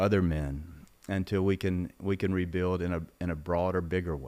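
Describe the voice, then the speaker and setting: Ordinary pitch variation from a man with a very deep, low voice and a Mississippi accent, on a very clean recording with a silent background. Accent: Southern US (Mississippi). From Mississippi, US South. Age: 60s. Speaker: former congressman, business executive. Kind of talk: interview conversation.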